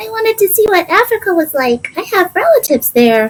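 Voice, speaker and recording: In a put-on character voice, the speaker sounds timid and squeaky, with an extremely high pitch and very wide pitch swings. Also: fairly quick pace. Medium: read story.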